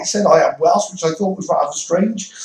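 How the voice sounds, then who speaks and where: With a British accent, a man speaks at a high pitch. His pace is fairly quick. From Wales. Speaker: religious YouTuber. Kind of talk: monologue vlog. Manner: stuttering; halting, repetitive.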